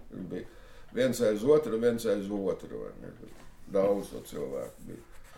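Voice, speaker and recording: A man's voice with big swings in loudness and audible room echo. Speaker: former Soviet-era resistance fighter. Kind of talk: interview.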